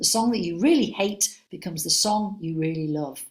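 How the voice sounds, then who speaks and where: Speaking with a Liverpool accent at a fairly slow pace, a woman sounds somewhat breathy, her intonation lively. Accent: Scouse. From Liverpool, England. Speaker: senior music examiner. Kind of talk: webinar Q&A. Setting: online webinar. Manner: animated.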